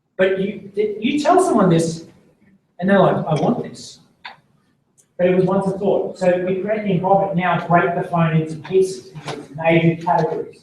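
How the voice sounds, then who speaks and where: There is audible room echo around this man's voice. He speaks with a high pitch and ordinary pitch variation. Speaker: business coach running a seminar. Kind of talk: live seminar talk to participants. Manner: slow, deliberate.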